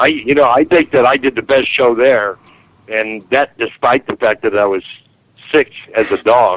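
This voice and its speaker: A man's unremarkable speaking voice, medium in pitch, with ordinary pitch variation, a moderate pace, and a dry, close sound with no echo. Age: 60s. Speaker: speaker on strange phenomena. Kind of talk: interview.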